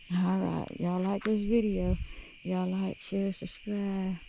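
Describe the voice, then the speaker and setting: The speaker talks at a very slow pace in a Southern US accent. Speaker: outdoor vlogger. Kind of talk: casual vlog narration. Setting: outdoors at night by a lake.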